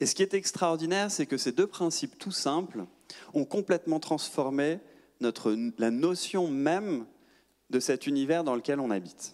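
Against a quiet background, a man with a fairly high pitch speaks at a moderate pace with long, frequent pauses. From France, Paris. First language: French (speaking Italian). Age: 40s. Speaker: astrophysicist and science communicator; speaker. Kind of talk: public lecture. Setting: stage with audience. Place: hall. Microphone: handheld.

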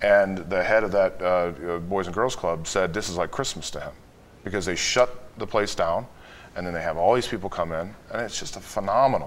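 With an American accent, a man talks at a very deep, low pitch with ordinary pitch variation. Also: moderate pace. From Chicago. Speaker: wealth management executive; guest. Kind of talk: interview. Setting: studio. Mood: earnest, enthusiastic. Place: studio. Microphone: lapel.

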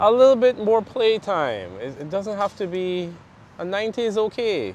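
Talking at a moderate pace in a Caribbean accent, a man shows big swings in loudness over light background noise, in a dry sound with no echo. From Belize, raised there after birth in Guyana. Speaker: interview guest. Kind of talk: casual interview. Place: garden. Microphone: lapel.

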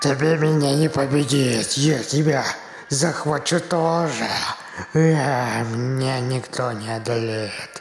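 The voice sits at a low-to-middle pitch and moves at a fairly slow pace. Background noise is clearly audible. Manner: seductive, then menacing.

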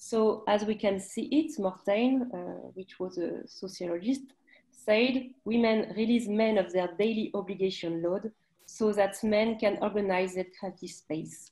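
A dark, mellow, somewhat breathy voice in a French accent, at a fairly slow pace with ordinary pitch variation. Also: woman. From France. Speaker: arts federation delegate. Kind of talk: presentation. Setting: video call. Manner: halting. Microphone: video call.

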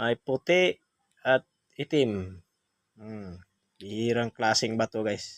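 Man of medium pitch at a very slow pace, with long, frequent pauses and ordinary pitch variation. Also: dry, close sound with no echo. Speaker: stone collector vlogger. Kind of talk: sales pitch showing stones to camera. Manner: animated, repetitive hype, praising each stone as sulit and napakaganda; addresses viewers as guys, punctuated by hmm sounds and laughs.

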